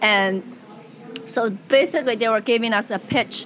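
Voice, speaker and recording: A woman with a Chinese accent talks at a moderate pace in a fairly high pitch, with ordinary pitch variation. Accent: Mandarin Chinese-accented English. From China, Wuhan. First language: Mandarin Chinese. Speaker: comedian and tech worker. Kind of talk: casual interview chat. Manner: animated, laughs often.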